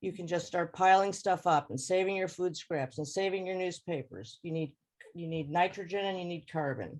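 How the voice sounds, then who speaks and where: This woman has a normal speaking voice, fairly low in pitch, with fairly even intonation and a moderate pace. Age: 60s. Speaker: home gardener sharing tips. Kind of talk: informal presentation over video call.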